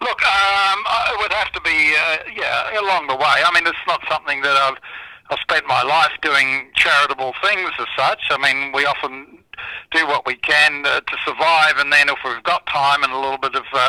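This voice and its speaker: There is noticeable background noise behind a man's voice. He speaks at a moderate pace in an Australian accent. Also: fairly high pitch for a man, ordinary pitch variation. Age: 60s. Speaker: charity founder and former broadcaster. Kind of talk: radio interview.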